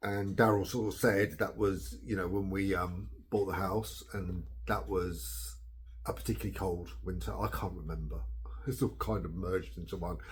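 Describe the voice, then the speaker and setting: In a room with audible echo, a man with a very deep, low pitch and vocal fry swings his pitch very widely. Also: moderate pace. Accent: English. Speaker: blogger. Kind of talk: casual chat. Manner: hesitant with fillers.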